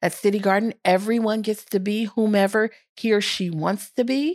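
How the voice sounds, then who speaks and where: A woman's fairly high-pitched, ordinary speaking voice with an American accent, at a moderate pace, in a very clean recording with a silent background. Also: dry, close sound with no echo. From US Midwest, St. Louis, Missouri. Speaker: school principal. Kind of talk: interview.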